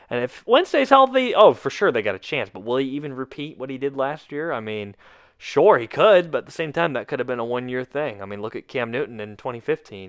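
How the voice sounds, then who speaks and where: Here a man talks at a fairly quick pace with lively intonation and a medium pitch. His loudness swings widely. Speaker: sports podcast host. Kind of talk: solo sports commentary podcast. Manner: casual, with fillers.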